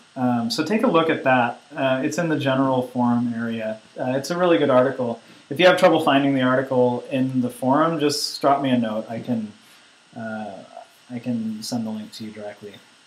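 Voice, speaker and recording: A man talks fairly quickly, his pitch varying in an ordinary way, while background noise is noticeable. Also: medium pitch for a man. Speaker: online course instructor. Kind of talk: tutorial. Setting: conference call with screen sharing. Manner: hesitant, many fillers.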